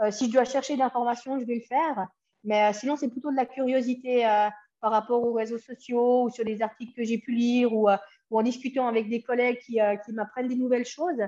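The voice is dark and mellow, monotone and flat, moving at a fairly quick pace with a slight Swiss French accent. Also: woman, high pitch for a woman. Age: 30s. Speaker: cycling coach and former racer. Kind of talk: interview conversation.

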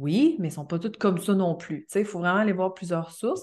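A woman talks in a plain, everyday voice at a medium pitch with ordinary pitch variation. The background is quiet. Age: 30s. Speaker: astrologer. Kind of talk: casual interview.

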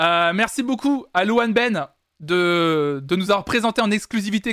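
A man's high-pitched voice, animated in tone, with ordinary pitch variation, on a very clean recording with a silent background. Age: 20s. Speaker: music news streamer. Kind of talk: casual live-stream chat. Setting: live stream.

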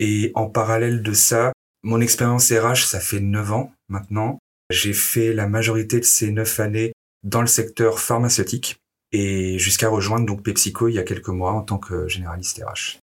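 A man's medium-pitched voice in a flat monotone. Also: moderate pace. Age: 30s. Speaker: HR business partner. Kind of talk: interview. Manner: hesitant with fillers.

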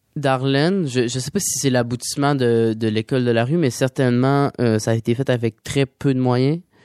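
With hardly any pauses, a man talks at moderate pace and medium pitch, his intonation fairly even and the sound dry and close with no echo. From Quebec. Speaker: singer-songwriter. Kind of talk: radio interview. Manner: halting.

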